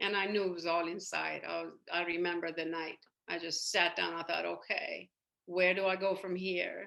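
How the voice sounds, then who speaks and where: A woman speaks at a moderate pace with a Persian accent. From Iran. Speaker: spiritual coach and hypnotherapist. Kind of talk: podcast interview. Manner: hesitant, many fillers.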